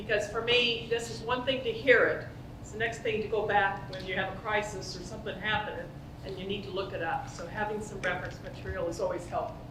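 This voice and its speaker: A woman talks very fast with big swings in loudness, amid noticeable background noise and audible room echo. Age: 70s. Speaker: organizational psychologist, conference speaker. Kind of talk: conference talk. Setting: stage with audience, conference.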